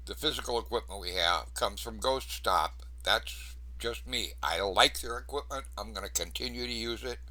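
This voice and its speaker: A man's very deep, low voice with vocal fry and a bright, sharp tone. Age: 70s. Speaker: paranormal investigator. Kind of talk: casual talk to camera. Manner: casual, conversational.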